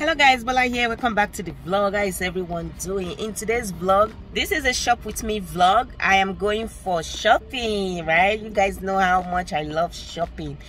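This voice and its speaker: A woman speaks at a moderate pace with ordinary pitch variation and hardly any pauses. The sound is dry with no echo, and there is light background noise. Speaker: vlogger. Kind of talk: casual vlog chat. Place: car. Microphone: phone near.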